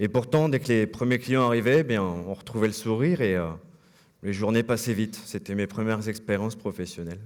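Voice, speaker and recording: This man's voice sits fairly low in pitch and shows ordinary pitch variation. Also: fairly quick pace. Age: 30s. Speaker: former trainee, boat salesman. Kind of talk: conference talk. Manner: hesitant, many filler words.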